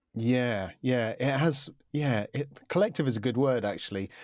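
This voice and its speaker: A man with a southern English accent speaks at a moderate pace. His pitch is medium, and the recording is very clean with a silent background. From UK. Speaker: media composer and podcaster. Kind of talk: interview. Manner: halting, many fillers.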